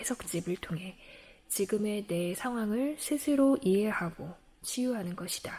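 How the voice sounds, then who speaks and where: Speaking at a fairly slow pace, a woman uses a medium pitch, a calm, soothing, dark and mellow tone, and lively intonation. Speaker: book reader. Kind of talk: audiobook-style book reading.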